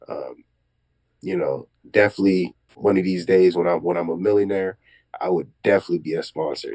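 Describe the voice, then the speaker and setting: Dark, mellow tone at a fairly quick pace, with ordinary pitch variation. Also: man, very deep, low pitch for a man. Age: 20s. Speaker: young entrepreneur and realtor. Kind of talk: casual interview. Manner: halting.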